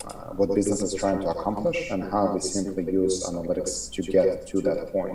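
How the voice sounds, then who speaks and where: A man talks at a fairly quick pace with hardly any pauses, with audible room echo and noticeable background noise. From Ukraine. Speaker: marketing executive, analytics expert. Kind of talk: interview. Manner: hesitant, many fillers.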